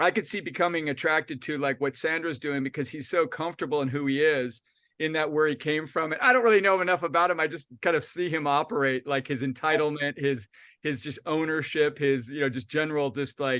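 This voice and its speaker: A man with an American accent speaks at a fairly quick pace, his pitch fairly high. His tone is bright and sharp over a quiet background. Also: ordinary pitch variation. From Texas, after childhood abroad. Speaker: interviewer. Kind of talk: interview. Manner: halting.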